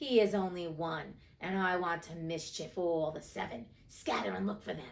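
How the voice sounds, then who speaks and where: Husky and fairly low for a woman, her put-on character voice runs at a moderate pace with hardly any pauses. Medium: read story. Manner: menacing.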